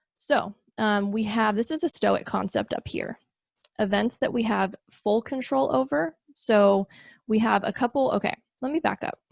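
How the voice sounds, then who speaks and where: A woman with a fairly high pitch speaks at a moderate pace with lively intonation. The sound is dry and close, with no echo. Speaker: video essayist explaining philosophy concepts. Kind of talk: casual solo explainer talk. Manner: animated.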